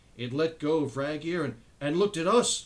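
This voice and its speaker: A squeaky, put-on character voice at a fairly quick pace. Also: man, fairly high pitch for a man. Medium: read story. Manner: stuttering, panicky.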